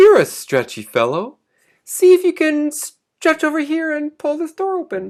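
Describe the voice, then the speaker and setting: A man does a squeaky, put-on character voice at an extremely high pitch and a moderate pace. The recording is very clean, with a silent background. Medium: read story. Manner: urgent, eager.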